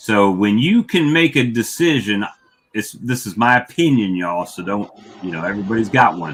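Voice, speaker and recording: A man talks at a moderate pace, his intonation lively. The recording is very clean, and the background silent. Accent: Southern US. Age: 50s. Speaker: beekeeper. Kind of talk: casual chat. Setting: livestream.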